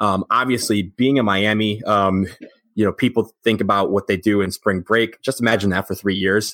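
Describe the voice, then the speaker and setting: A man with an American accent and an ordinary speaking voice talks at a moderate pace and fairly low pitch, his intonation fairly even. The loudness is very even, the sound dry and close with no echo, and the recording very clean with a silent background. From Michigan, outside Detroit. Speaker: sports podcast co-host. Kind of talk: casual chat.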